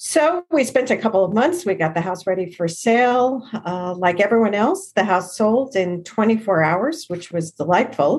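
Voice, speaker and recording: A woman with an American accent, very wide pitch swings and hardly any pauses. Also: medium pitch for a woman, moderate pace. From Long Island, New York. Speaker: career coach and author. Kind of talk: interview.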